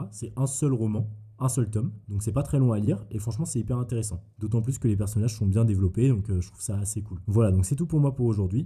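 Speaking at a very fast pace, a man with a fairly low pitch and a dark, mellow, somewhat breathy tone uses ordinary pitch variation. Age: 20s. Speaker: podcast host. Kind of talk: solo monologue podcast. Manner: casual.

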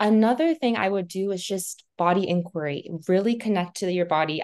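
A woman with an American accent speaks at a fairly slow pace in an ordinary speaking voice, her pitch varying in an ordinary way. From Montana, US. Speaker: purpose coach. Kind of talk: interview conversation.

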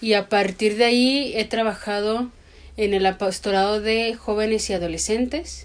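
In an ordinary speaking voice, a woman talks at a moderate pace in a fairly high pitch, with fairly even intonation and very even loudness. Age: 30s. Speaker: podcast co-host. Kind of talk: casual chat; scripted narration.

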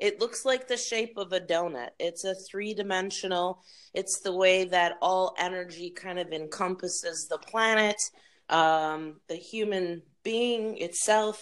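A woman speaks in an unremarkable speaking voice at a medium pitch, a fairly slow pace and with ordinary pitch variation. The recording is very clean with a silent background. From Wisconsin, Milwaukee. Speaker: podcast participant matched with a stranger. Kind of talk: casual chat.

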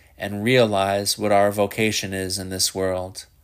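Recorded very cleanly against a silent background, a man with a fairly low pitch talks at a fairly slow pace. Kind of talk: audiobook reading of a scholarly theology text. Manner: formal, measured, even-paced academic delivery.

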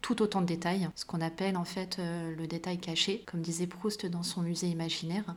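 A woman's fairly low, flat monotone at a moderate pace, with noticeable background noise. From Paris suburbs (Val-de-Marne), born in Morocco. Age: 30s. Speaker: art historian and curator. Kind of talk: interview conversation.

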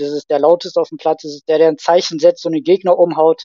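This man's voice has a dark, mellow tone. His delivery stays flat and monotone. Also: dry, close sound with no echo. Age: 30s. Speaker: youth football scout and teacher. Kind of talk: casual chat. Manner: hesitant, many filler sounds.

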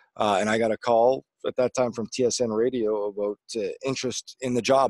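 Recorded dry and close with no echo, a man with a Canadian prairie accent speaks in a monotone, flat intonation. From Manitoba, Canada (small town). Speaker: former pro hockey player and TV color commentator. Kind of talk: casual interview.

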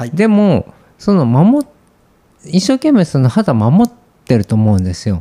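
Long pauses come often in this fairly unhurried delivery. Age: 40s. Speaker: beauty clinic doctor. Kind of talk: casual chat.

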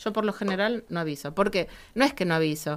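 A woman talks with lively intonation in a plain, everyday voice. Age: 60s. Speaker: writer. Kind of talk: casual chat.

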